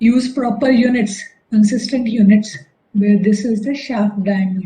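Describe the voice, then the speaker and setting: Amid audible room echo, a woman speaks at a fairly slow pace in a somewhat breathy, fairly high voice with a dark, mellow tone and fairly even intonation. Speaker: engineering lecturer. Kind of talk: lecture.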